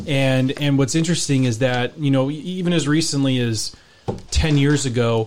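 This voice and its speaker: In a normal speaking voice with an American accent, the speaker keeps a moderate pace, fairly even intonation and very even loudness. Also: man, fairly high pitch for a man. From US West Coast, San Francisco Bay Area. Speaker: real estate journalist. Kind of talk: radio interview.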